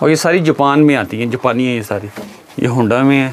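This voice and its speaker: The speaker's pitch varies in an ordinary way. Light background noise can be heard. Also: man. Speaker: vlogger touring a shop. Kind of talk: casual vlog commentary. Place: shop.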